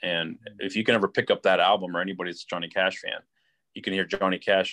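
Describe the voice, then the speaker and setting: With an Ohio accent, a man talks at a fairly quick pace against a quiet background, the sound dry and close with no echo. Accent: Midwestern US (Ohio). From Youngstown, Ohio. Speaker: car salesman. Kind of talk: casual chat.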